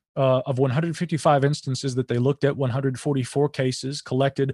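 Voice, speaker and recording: A man with an ordinary speaking voice and fairly high pitch, talking fairly quickly in a very clean recording with a silent background. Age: 30s. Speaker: writer, podcaster and UFO researcher. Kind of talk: casual chat.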